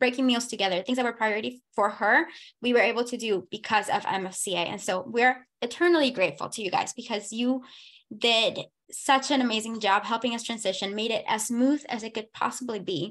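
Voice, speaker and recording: In a Spanish accent, a woman speaks fairly quickly and with an animated tone, her pitch fairly high with ordinary variation, against a quiet background. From Panama. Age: 20s. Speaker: foster parent. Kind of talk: testimony.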